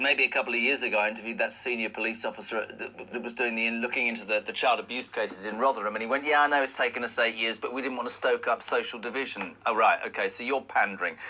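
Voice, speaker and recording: A man races along at a very fast pace with noticeable background noise around him. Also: hardly any pauses. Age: 60s. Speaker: radio host. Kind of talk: radio interview.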